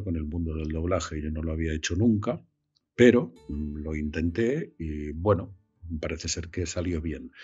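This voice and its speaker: Over music in the background, a man with a very deep, low pitch and ordinary pitch variation speaks at a fairly slow pace. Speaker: voice actor. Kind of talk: interview answer. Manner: hesitant, searching for words.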